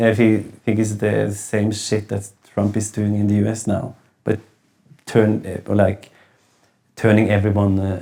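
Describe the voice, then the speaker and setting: Speaking at a moderate pace with long, frequent pauses, a man keeps a monotone, flat intonation in a dark, mellow tone of fairly low pitch. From Norway. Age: 40s. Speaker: singer. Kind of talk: casual chat. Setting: studio. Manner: halting.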